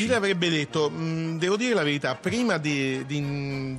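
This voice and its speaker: With music playing in the background, a man talks at a moderate pace in a fairly high pitch with ordinary pitch variation. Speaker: radio host. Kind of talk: radio program talk.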